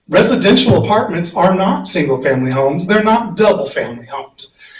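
A man talks at a moderate pace, his pitch swinging very widely. Room echo is audible. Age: 60s. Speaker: resident giving public comment. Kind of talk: public comment at county meeting.

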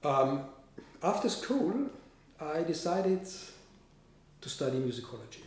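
In a German accent, the speaker moves at a fairly slow pace with very wide pitch swings and long, frequent pauses, amid audible room echo. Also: man. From Austria. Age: 50s. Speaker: composer. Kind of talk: interview. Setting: studio. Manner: halting. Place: home room. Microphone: camera far.

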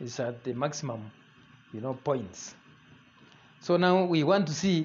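At a fairly slow pace, a man talks with ordinary pitch variation against light background noise. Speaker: demonstrator of the experiment. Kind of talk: explanatory commentary. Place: kitchen. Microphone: camera far.

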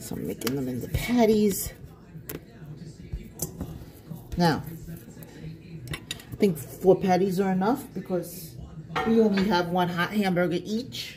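The speech moves at a fairly slow pace with long, frequent pauses and big swings in loudness, set against noticeable background noise. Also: woman, fairly low pitch for a woman. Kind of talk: casual cooking vlog chat. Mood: relaxed and chatty. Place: kitchen. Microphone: phone near.

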